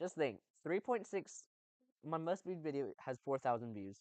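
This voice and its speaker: This voice carries an American accent. It moves along at a moderate pace. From outside the US. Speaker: indie game developer and streamer. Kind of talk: casual chat. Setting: live stream.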